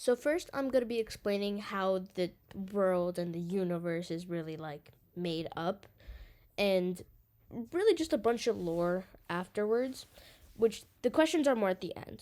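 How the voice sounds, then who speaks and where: With a dark, mellow tone and lively intonation, a woman speaks at a medium pitch and a moderate pace, taking long, frequent pauses. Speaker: online artist explaining original characters. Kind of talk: casual Q&A monologue. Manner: loud.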